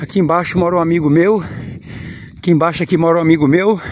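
The voice moves at a moderate pace over light background noise, with a dry sound and no echo. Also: man. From rural Minas Gerais, Brazil. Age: 40s. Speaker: vlogger; rural vlogger. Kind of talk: casual walking vlog. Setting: outdoors. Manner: animated. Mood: joyful, devotional. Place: open country. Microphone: phone near.

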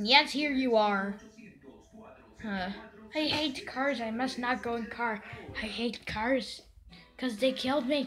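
Someone talks in a put-on character voice at a fairly slow pace. Long, frequent pauses break up the speech. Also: female-sounding voice, high pitch for a woman. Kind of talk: comic overacting. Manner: agitated, repetitive ranting.

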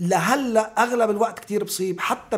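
Fairly even intonation from a man. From Lebanon. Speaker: theatre director, actor and writer; actor. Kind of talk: interview conversation. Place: studio. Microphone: studio mic.

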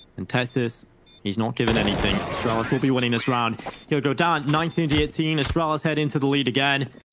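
The tone is animated and the pace very fast. There is noticeable background noise. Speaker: esports caster. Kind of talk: live esports play-by-play commentary. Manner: animated, exclamatory bursts at clutch moments.

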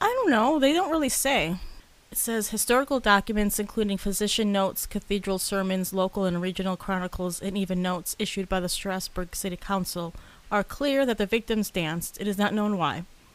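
Speaking fairly quickly, a woman with an unremarkable speaking voice keeps a medium pitch that varies in an ordinary way. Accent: American. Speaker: podcast co-host. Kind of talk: casual chat.

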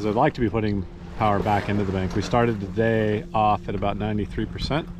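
A man's fairly low voice at a very fast pace, with ordinary pitch variation, a dry sound without echo, and noticeable background noise. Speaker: sailor vlogger. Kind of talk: casual vlog chat. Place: boat. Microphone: phone near.

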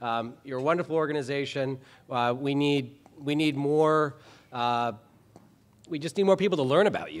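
In an American accent, a man with a fairly high pitch talks at a fairly quick pace with ordinary pitch variation. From Minnesota. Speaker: state legislator. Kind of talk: award acceptance speech. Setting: banquet hall with live audience. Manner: passionate, joking. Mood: humorous, candid. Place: hall. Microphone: podium.

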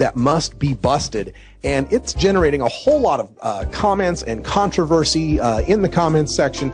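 A man at a moderate pace over faint music in the background. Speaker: radio show host. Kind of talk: radio show intro. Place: shop. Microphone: handheld.

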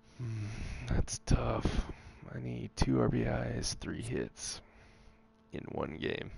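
Over noticeable background noise, a man with a very deep, low pitch speaks very slowly, with long, frequent pauses and big swings in loudness. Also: ordinary pitch variation. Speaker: gamer. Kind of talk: casual gameplay chat. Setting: video game recording. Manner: excitable, anxious, swears when frustrated.

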